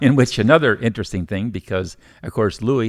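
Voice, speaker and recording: This very fast man speaks with an American accent and ordinary pitch variation in a very clean recording with a silent background and a dry, close sound with no echo. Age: 80s+. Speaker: restaurant owner. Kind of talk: interview storytelling.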